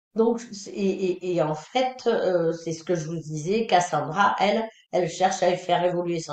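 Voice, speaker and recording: Speaking fairly slowly, a woman with a fairly low voice shows ordinary pitch variation. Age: 60s. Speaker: independent phone secretary and trainer. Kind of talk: webinar presentation. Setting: online webinar. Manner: hesitant, many fillers.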